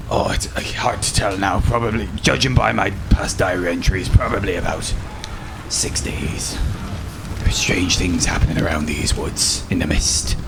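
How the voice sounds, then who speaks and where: In a cartoonish character voice, a man talks with a very deep, low pitch at a moderate pace. Loud background noise fills the recording. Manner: halting, rambling, hesitant.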